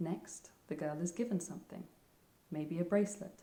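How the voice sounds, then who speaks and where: A somewhat breathy woman's voice, fairly low in pitch with ordinary pitch variation, at a fairly quick pace. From England. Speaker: poet. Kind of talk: poetry reading.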